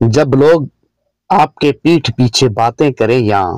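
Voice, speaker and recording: In a very clean recording with a silent background and a dry, close sound with no echo, a man speaks at medium pitch with ordinary pitch variation. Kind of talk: motivational speech.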